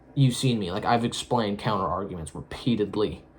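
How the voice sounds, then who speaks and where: Lively intonation runs through this man's fairly low-pitched voice. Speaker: solo vlogger. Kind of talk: casual monologue. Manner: fast; halting.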